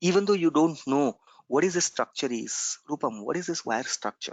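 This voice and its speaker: Quietly, a man speaks at a moderate pace in a fairly high voice with lively intonation. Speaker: software trainer. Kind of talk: online class lecture. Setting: recorded conference call.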